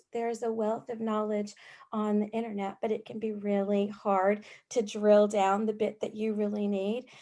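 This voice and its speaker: A woman speaks at a fairly slow pace with a fairly high pitch and a dark, mellow tone. The recording is very clean, with a silent background. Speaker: youth mental health worker. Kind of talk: panel discussion. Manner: loud and sassy.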